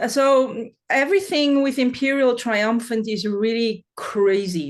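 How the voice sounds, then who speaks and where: A woman with a Swiss accent speaks at a high pitch with lively intonation and a fairly slow pace. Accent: German-speaking Swiss accent in English. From Switzerland. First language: German. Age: 40s. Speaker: metal singer. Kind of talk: interview. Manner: halting.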